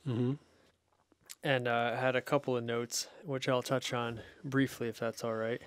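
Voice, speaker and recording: A man is heard in a dry sound with no echo. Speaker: podcast host. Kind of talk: casual podcast chat. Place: home room. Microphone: studio mic.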